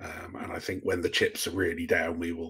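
A man speaks with an English accent. His pace is moderate and the background quiet. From England. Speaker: science fiction author; guest. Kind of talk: casual interview. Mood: relaxed, thoughtful. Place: home room.

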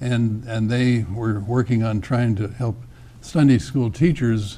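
A man talks at a fairly slow pace. His tone is dark and mellow and somewhat breathy. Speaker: interview guest. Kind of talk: interview answer. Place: studio. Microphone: lapel.

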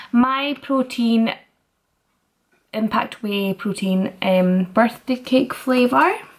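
Speaking very slowly over a quiet background, a woman lets her pitch vary in an ordinary way. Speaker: fitness vlogger. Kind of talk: tutorial. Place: kitchen. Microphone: phone near.

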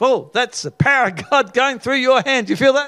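A man talks in a raised, projected voice with a bright, sharp tone. His intonation is lively, and the background is quiet. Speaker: preacher leading mass healing prayer. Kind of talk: charismatic healing prayer, calling out ailments and rebuking them. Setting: live gathering with people on stage. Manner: fervent and commanding, with stumbles and filler sounds. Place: studio. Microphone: handheld.

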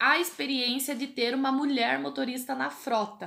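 Here a woman speaks with a high pitch. Her tone is bright and sharp. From Brazil. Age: 30s. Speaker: truck driver. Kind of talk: casual chat. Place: home room. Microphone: webcam.

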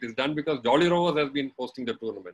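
Lively intonation runs through this man's speech. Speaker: webinar guest. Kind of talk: talk recounting personal history. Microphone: video call.

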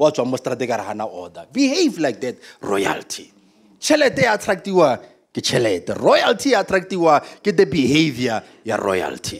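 A man talks in an animated tone at a moderate pace, his pitch swinging very widely with some vocal fry. The background is quiet. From South Africa. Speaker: pastor. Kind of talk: sermon. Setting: church. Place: church. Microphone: handheld.

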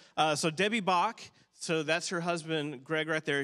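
A man with a bright, sharp tone against a quiet background. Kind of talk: church announcements. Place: church. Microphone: handheld.

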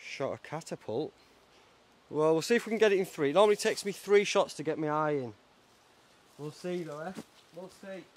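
Talking at a fairly quick pace, a man with a high pitch uses ordinary pitch variation, his loudness swinging widely. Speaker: outdoor camping vlogger. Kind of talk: casual vlog chat. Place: forest.

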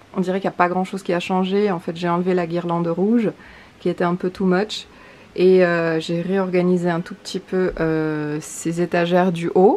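A woman talks at a moderate pace in a fairly low pitch. Her tone is dark and mellow, with monotone, flat intonation. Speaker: book vlogger. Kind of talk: casual vlog chat. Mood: light, self-mocking. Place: home room. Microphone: phone near.

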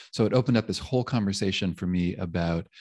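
Against a quiet background, a man speaks in a very deep, low voice. His pace is fairly quick. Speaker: interview guest. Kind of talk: interview answer. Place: home room. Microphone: studio mic.

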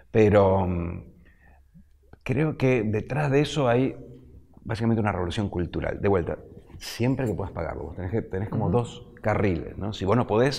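A man speaks with a fairly low pitch. His intonation is lively and his pace fairly quick. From Argentina. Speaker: economist; guest. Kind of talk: interview. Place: studio.

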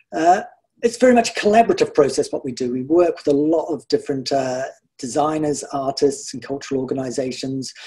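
A man with a New Zealand accent, dark and mellow in tone, somewhat breathy, at a fairly quick pace with lively intonation, over a quiet background. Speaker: garden project organiser. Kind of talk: illustrated talk. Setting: video call. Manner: relaxed, frequent hedges like 'sort of'. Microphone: video call.

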